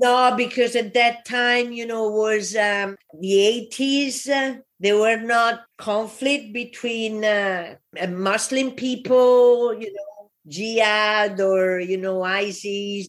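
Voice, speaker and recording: Speaking in an Italian accent, a woman uses a fairly high pitch and fairly even intonation. Her pace is very slow. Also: hardly any pauses. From Italy. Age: 60s. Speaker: immigrant entrepreneur. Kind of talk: interview.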